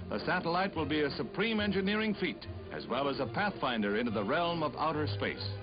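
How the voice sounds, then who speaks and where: With music in the background, a man with a fairly high pitch speaks at a fairly quick pace, his pitch swinging very widely. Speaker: newsreel narrator. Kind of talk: newsreel narration.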